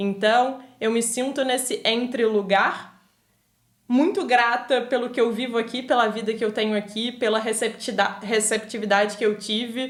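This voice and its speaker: Monotone, flat delivery at a moderate pace, with a Rio de Janeiro accent. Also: woman, fairly high pitch for a woman. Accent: Rio de Janeiro Brazilian Portuguese. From Brazil, Rio de Janeiro. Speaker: podcast guest, immigrant. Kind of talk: casual chat.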